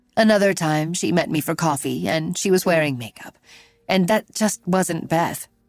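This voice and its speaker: Over music in the background, a husky put-on character voice at a middle pitch speaks at a moderate pace. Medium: read story.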